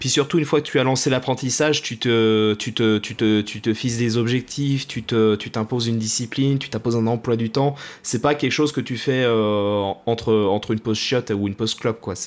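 A man at a medium pitch and moderate pace, with fairly even intonation and hardly any pauses. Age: 20s. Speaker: podcast host, audiovisual and events worker. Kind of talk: casual chat; scripted intro. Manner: halting, repeats words.

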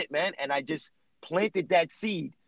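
An animated, high-pitched man with ordinary pitch variation. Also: dry, close sound with no echo. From New Jersey, Jersey City. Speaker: personal trainer. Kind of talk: casual chat.

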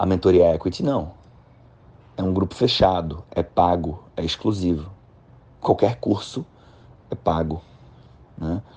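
A man with a very deep, low voice and a dark, mellow tone speaks at a fairly slow pace with ordinary pitch variation. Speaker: podcast host and financial consulting mentor. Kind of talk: casual monologue. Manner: halting.

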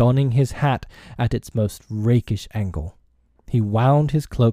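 Ordinary pitch variation marks the delivery. It is a natural reading voice.

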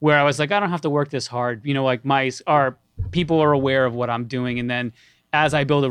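A man with a New York accent speaks at a very fast pace and a medium pitch. His intonation is fairly even, and the background is quiet. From New York, Long Island. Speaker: music producer. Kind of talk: interview.

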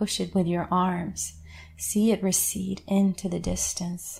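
A woman speaks in a calm, soothing tone at a very slow pace. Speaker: guided meditation leader. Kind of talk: guided meditation. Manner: slow, calm, soothing, with long pauses; gentle, reassuring, instructive.

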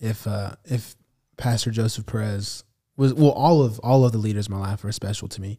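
A man's fairly low, somewhat breathy voice with a dark, mellow tone and fairly even intonation, American accent, on a very clean recording with a silent background. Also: fairly quick pace. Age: 20s. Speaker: minister. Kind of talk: interview podcast conversation.

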